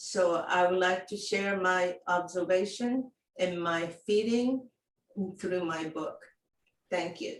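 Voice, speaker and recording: A woman at a very slow pace, with ordinary pitch variation and long, frequent pauses. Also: medium pitch for a woman. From Japan. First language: Japanese. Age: 70s. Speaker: living library volunteer. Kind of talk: personal introduction. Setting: video call.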